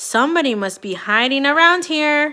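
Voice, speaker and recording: A woman's put-on character voice, high-pitched with lively intonation, at a moderate pace. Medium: read story.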